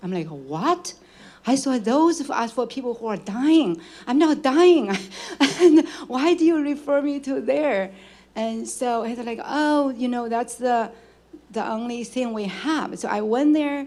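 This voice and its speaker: Speaking at a fairly slow pace with long, frequent pauses, a woman with a non-native accent uses a high pitch, a dark, mellow tone and lively intonation, with audible room echo around her. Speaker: audience member asking a question. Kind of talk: audience question at a lecture Q&A.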